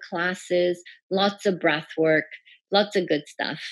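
A woman with an American accent and a normal speaking voice talks at a fairly slow pace in a medium pitch with fairly even intonation. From Iran, then US from age 11. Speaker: breathwork and bodywork practitioner. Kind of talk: casual interview.

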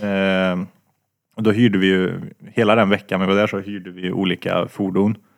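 A man talks at a moderate pace with a fairly low pitch. His intonation is flat and monotone. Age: 20s. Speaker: podcast co-host. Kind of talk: casual chat.

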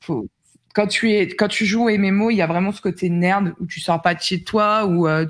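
Over a silent background in a very clean recording, a woman talks in a normal speaking voice at a fairly slow pace with ordinary pitch variation. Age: 30s. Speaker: streamer. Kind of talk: casual chat.

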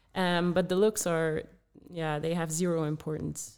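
A woman speaks with a Dutch accent at a moderate pace. The recording is very clean, with a silent background. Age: 20s. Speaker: former distance runner, running advisor. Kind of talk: podcast interview.

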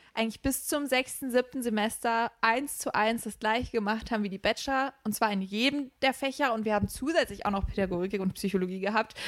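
A woman with an ordinary speaking voice talks at a fairly quick pace in a fairly high pitch, with ordinary pitch variation and hardly any pauses, on a very clean recording with a silent background. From Rhineland, Germany. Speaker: trainee teacher. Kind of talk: casual chat.

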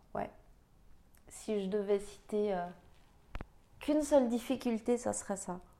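The woman's voice has a dark, mellow tone and a fairly high pitch with ordinary variation. She speaks at a fairly slow pace, leaving long, frequent pauses. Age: 30s. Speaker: podcast host. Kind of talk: personal reflective monologue. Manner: hesitant, with many fillers.

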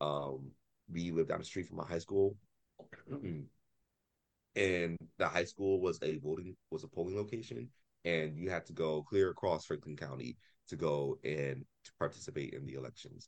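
A man speaks at a very deep, low pitch with vocal fry and lively intonation, at a moderate pace. His loudness swings widely, broken by long, frequent pauses. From Columbus, Ohio, US Midwest. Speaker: writer and author. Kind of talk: casual chat. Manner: animated.

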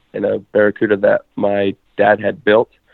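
This man has an ordinary speaking voice, fairly low in pitch, and talks at a moderate pace. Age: 20s. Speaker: drag racer. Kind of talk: casual chat.

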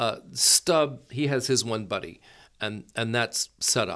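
With an American accent, a man speaks in a normal speaking voice. The recording is very clean, with a silent background. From US South, Florida Gulf Coast. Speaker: opera company director. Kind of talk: casual interview.

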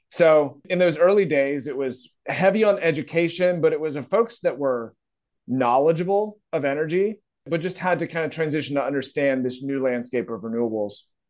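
Speaking at a moderate pace with an American accent, a man has an ordinary speaking voice, fairly high in pitch with lively intonation. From Virginia, US. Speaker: renewable energy software network manager. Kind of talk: interview.

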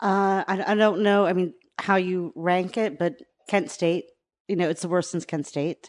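The pitch rises and falls in an ordinary way, at a moderate pace. It is a normal speaking voice. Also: woman, medium pitch for a woman. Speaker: podcast fan and guest. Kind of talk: casual chat.

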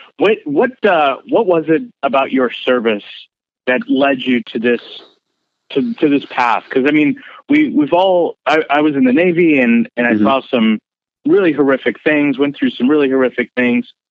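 A man with an American accent and an ordinary speaking voice, fairly high in pitch, at a moderate pace, lively intonation and very even loudness. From US, San Francisco Bay Area. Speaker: podcast host and military veteran. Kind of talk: casual interview.

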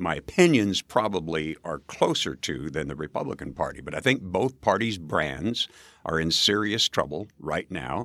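Moderate pace, lively intonation, and vocal fry in an American accent, with a dry, close sound, no echo, and a very clean recording against a silent background. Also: man. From rural Nebraska. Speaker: mayoral candidate, former radio host. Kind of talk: interview.

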